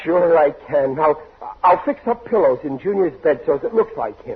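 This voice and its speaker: Over noticeable background noise, a man speaks at a moderate pace with very wide pitch swings. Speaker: radio comedy actor playing a bumbling father. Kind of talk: old-time radio comedy drama. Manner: flustered, pleading, bluster.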